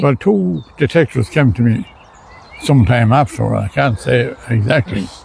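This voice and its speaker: A man with an Irish midlands accent at a moderate pace, very wide pitch swings, and noticeable background noise. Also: medium pitch for a man. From Ireland, County Laois. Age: 80s+. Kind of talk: interview answer.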